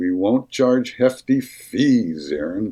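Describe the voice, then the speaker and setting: A man is speaking. His tone is dark and mellow. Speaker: former radio DJ and voice-over artist. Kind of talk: sales pitch.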